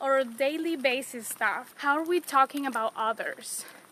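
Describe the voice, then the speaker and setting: Speaking at a fairly slow pace, a woman uses a high pitch with ordinary pitch variation over noticeable background noise. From Latin America, non-Mexican. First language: Spanish. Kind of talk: casual devotional chat.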